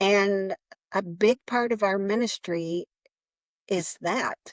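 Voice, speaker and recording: A woman is speaking. Her pitch is fairly high, with ordinary pitch variation. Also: dry, close sound with no echo. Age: 60s. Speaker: nonprofit founder. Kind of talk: interview.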